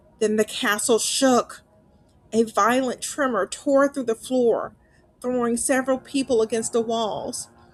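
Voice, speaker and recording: Music plays in the background as a woman speaks at a fairly slow pace. Her pitch is fairly high and her intonation fairly even. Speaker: narrator. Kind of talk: horror story narration.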